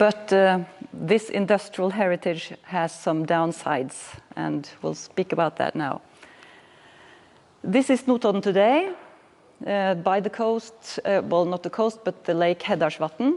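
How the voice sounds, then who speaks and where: A woman with a Norwegian accent talks at a fairly slow pace, leaving long, frequent pauses. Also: medium pitch for a woman, ordinary pitch variation. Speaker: municipal planning manager. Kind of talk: lecture. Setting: workshop presentation. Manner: halting.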